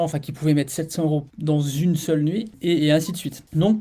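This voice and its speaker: At a very fast pace, a man talks with a high pitch and a dark, mellow tone. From France, Grenoble area (Alps). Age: 30s. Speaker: property dealer and former soldier. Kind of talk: interview podcast. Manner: casual, hesitant with fillers.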